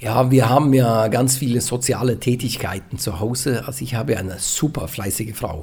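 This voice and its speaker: Speaking at a moderate pace with hardly any pauses, a man uses a somewhat breathy voice at a medium pitch with ordinary pitch variation. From western Norway. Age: 40s. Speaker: retired pastor. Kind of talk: interview.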